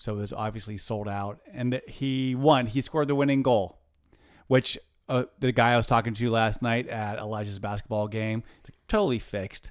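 Speaking in an unremarkable speaking voice, a man keeps a moderate pace at a medium pitch with fairly even intonation. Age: 50s. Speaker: podcast co-host. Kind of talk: casual chat.

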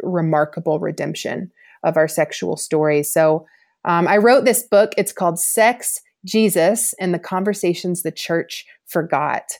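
In a very clean recording with a silent background, a woman with an ordinary speaking voice talks at a fairly slow pace, her fairly low pitch showing ordinary variation. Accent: American. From US South, Georgia. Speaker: author and former soccer player. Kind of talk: podcast interview testimony.

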